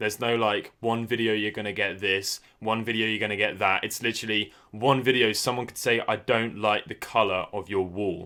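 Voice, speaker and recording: A man with a British accent talks at a fairly quick pace with hardly any pauses. His fairly low voice is monotone, with flat intonation. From Britain. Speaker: YouTuber, retro gaming channel host. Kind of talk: casual chat.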